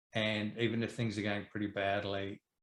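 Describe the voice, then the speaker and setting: A fairly low-pitched man's voice with an Australian accent, fairly quick and in a monotone, flat intonation. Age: 60s. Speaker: property educator and investor. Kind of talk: interview.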